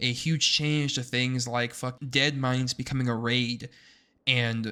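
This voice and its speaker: A man speaks with fairly even intonation at a medium pitch, his tone bright and sharp. The recording is very clean, with a silent background. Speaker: gaming commentator. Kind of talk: unscripted rant. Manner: loud; mumbling.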